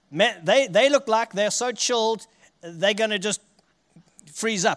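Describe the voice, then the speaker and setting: This man speaks with a South African accent. His voice sits at a high pitch. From South Africa, Richards Bay. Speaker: guest preacher. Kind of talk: sermon. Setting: church.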